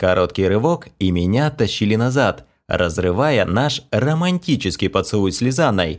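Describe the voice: The speaker is doing plain reading aloud. The intonation is lively.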